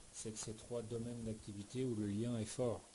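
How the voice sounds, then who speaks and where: With a dark, mellow tone and a somewhat breathy sound, a man speaks at a fairly slow pace. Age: 40s. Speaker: professional coach and trainer, former tennis player. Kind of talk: interview. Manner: hesitant, with filler words.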